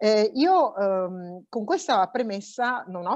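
A woman's voice swings very widely in pitch, with a dry sound with no echo and a quiet background. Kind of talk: conference speech. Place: office. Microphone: earbuds.

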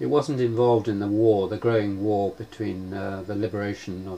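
Fairly slow, fairly low-pitched speech from a man, with ordinary pitch variation. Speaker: interviewer. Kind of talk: interview question.

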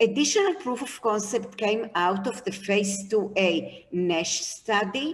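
Somewhat breathy, a woman talks at a very slow pace with ordinary pitch variation. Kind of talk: investor presentation. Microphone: webcam.

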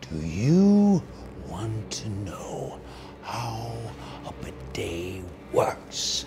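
A man speaks in a very deep, low pitch with a menacing tone. His pace is very slow, with long, frequent pauses, over clear background noise. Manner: menacing, building to shouting.

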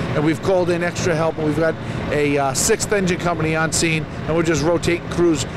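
A man is recorded dry with no echo, though noticeable background noise comes through. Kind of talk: interview answer. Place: street. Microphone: handheld.

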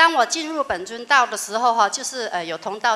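Speaking at a moderate pace, a woman has a fairly high pitch and a bright, sharp tone. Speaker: religious follower; audience member. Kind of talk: testimony. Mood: earnest, wondering. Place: hall.

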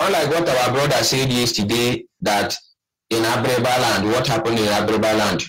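A man with a plain, everyday voice, medium pitch, ordinary pitch variation, very even loudness and a moderate pace. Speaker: caller. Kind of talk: call-in comment.

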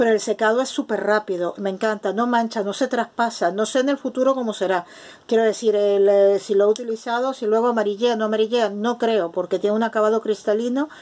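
A woman with an unremarkable speaking voice talks at a fairly quick pace and a fairly high pitch, with fairly even intonation and hardly any pauses. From Spain. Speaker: craft video maker. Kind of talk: tutorial. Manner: casual. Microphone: phone near.

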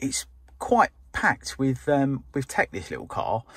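A man's somewhat breathy voice comes through dry, with no echo and a quiet background. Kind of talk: casual vlog chat. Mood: relaxed, mildly impressed. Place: car. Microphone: phone near.

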